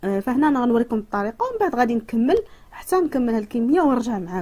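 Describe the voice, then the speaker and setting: Speaking very fast with a Moroccan accent, a woman uses a high-pitched voice. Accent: Moroccan Darija dialect. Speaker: cooking and home remedy youtuber. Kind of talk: tutorial. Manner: halting, many fillers.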